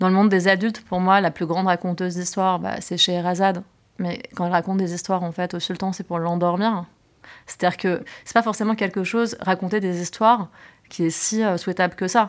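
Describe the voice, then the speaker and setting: A woman speaks in an unremarkable speaking voice at medium pitch, fairly quick and fairly even in intonation. The recording is very clean, with a silent background. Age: 30s. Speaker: film producer. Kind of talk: interview.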